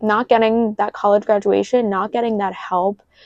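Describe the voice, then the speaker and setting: An American accent from a woman at medium pitch, ordinary pitch variation, and a dry, close sound with no echo. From New York. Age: 20s. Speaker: YouTuber. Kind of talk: casual vlog monologue. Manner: animated.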